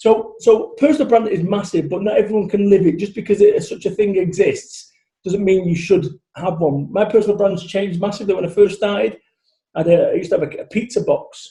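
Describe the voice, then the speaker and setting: A man with a Manchester accent, high in pitch with ordinary variation, with a dark, mellow tone at a fairly quick pace. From Salford, Manchester, northern England. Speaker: motivational business speaker. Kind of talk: podcast interview. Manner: animated, loud.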